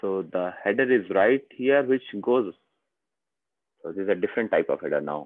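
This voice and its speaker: A man with an Indian accent speaks at a moderate pace and medium pitch, his lively intonation broken by long, frequent pauses. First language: Hindi. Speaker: software trainer. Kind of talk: software demo tutorial.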